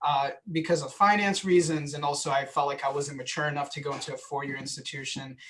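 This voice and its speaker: This man has a plain, everyday voice and an American accent, pitched fairly high. He talks at a fairly quick pace with fairly even intonation. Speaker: transfer student panelist. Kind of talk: panel talk.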